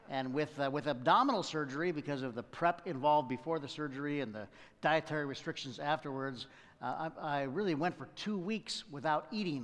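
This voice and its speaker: His pace is fairly quick. The man's pitch moves in an ordinary way. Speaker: preacher. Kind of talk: sermon. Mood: warm, humorous. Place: church. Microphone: headset.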